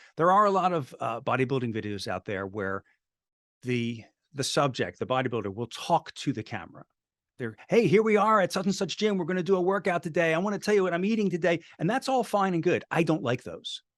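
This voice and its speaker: A high-pitched man's voice at a fairly quick pace, with very wide pitch swings, dry and close with no echo against a quiet background. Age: 60s. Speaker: filmmaker. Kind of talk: interview. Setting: video call.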